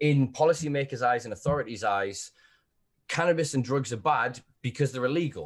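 Somewhat breathy, a man's medium-pitched voice moves at a moderate pace with ordinary pitch variation. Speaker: podcast host. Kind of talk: casual chat. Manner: animated.

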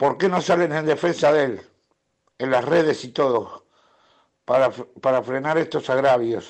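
A man speaking at a fairly slow pace, long and frequent pauses, ordinary pitch variation. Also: fairly high pitch for a man. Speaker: football club fan and long-time member. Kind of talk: recorded voice message. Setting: recorded audio message.

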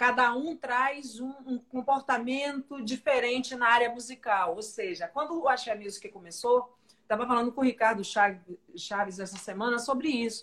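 A woman with a high pitch talks at a moderate pace with ordinary pitch variation and hardly any pauses. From Salvador, Bahia, Brazil. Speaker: live show host. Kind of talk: interview. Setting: livestream. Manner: animated.

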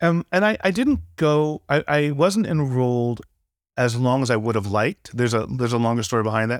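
A man with an American accent and an ordinary speaking voice talks at a fairly quick pace and medium pitch, his loudness very even, on a very clean recording with a silent background and a dry, close sound with no echo. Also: lively intonation. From California, Santa Barbara. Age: 50s. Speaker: guitarist and music producer. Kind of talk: casual interview conversation.

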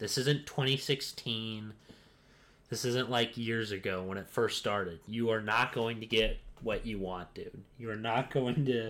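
A man speaks at a fairly slow pace and a medium pitch with ordinary pitch variation, recorded very cleanly against a silent background. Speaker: podcast host. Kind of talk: casual chat.

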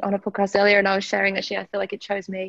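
A woman with an Australian accent talks very fast at a medium pitch. The sound is dry and close, with no echo. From UK. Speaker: somatic sexologist and founder of an intimacy institute. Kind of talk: casual interview chat.

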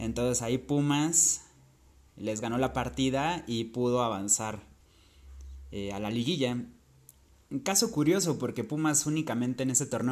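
A man's voice with ordinary pitch variation, on a very clean recording with a silent background. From Acapulco, Guerrero, Mexico. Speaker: football podcaster. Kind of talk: monologue recounting football statistics. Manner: hesitant, with fillers.

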